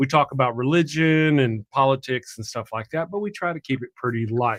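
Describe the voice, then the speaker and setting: Here a man with a Texan accent and medium pitch talks at a fairly quick pace with ordinary pitch variation, in a dry, close sound with no echo. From Texas. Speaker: atheist YouTuber, show host. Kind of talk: interview, casual chat.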